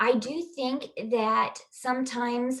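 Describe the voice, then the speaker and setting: In a Kansas accent, a woman speaks with fairly even intonation. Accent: Kansas, US Midwest. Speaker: digital marketing agency owner. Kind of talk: podcast interview answer. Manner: casual, hesitant.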